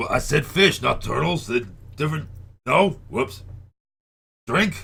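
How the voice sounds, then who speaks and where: Putting on a raspy character voice, a man talks at a moderate pace with fairly high pitch and very wide pitch swings. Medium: actual play. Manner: cocky, joking.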